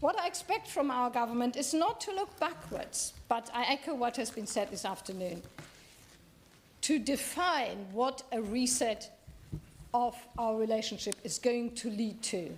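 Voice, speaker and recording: A high-pitched woman with very wide pitch swings, fairly slow delivery, and noticeable background noise. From Germany. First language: German. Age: 60s. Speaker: member of parliament. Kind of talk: parliamentary debate speech. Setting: parliament chamber. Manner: halting.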